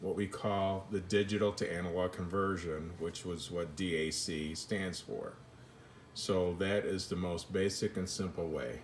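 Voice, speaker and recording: His pitch sits very deep and low. The man talks at a fairly slow pace. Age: 60s. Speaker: home audio hobbyist demonstrating gear. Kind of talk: tutorial. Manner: halting, many fillers; casual.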